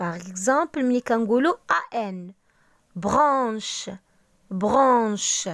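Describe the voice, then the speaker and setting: A woman's fairly high voice in a Moroccan accent, very slow with long, frequent pauses and lively intonation, on a very clean recording with a silent background. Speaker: language teacher. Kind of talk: tutorial. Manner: slow, repeating words for practice.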